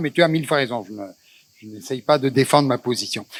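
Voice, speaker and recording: Dry, close sound with no echo, carrying a man's fairly high pitch and ordinary pitch variation. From Tangier, Morocco. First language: Spanish (Judeo-Spanish) (speaking French). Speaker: moderator of a cultural talk. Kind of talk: public panel discussion. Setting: festival stage with audience. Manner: halting, many hesitations.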